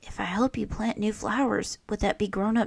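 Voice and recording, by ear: Natural-voiced reading aloud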